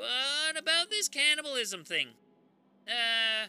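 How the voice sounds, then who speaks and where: A man's raised, projected voice, extremely high-pitched, bright and sharp in tone, with lively intonation at a fairly slow pace. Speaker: true crime podcast host. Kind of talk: comedic storytelling monologue. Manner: rambling, casual.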